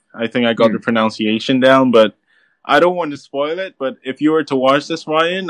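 A man with an unremarkable speaking voice talks at a moderate pace with ordinary pitch variation, in a dry, close sound with no echo. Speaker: caller, anime fan. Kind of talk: casual chat. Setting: remote call-in to livestream.

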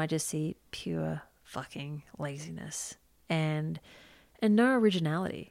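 A woman with an Australian accent speaks in a fairly low voice over a very clean recording with a silent background. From Queensland, Australia. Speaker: photographer. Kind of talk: casual chat.

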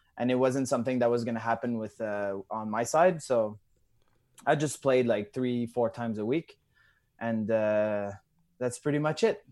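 The recording is very clean, with a silent background. A man with a Quebec accent speaks at a moderate pace and medium pitch, with ordinary pitch variation. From Quebec, Canada (Drummondville). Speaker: CrossFit athlete. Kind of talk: casual interview. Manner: halting, many fillers.

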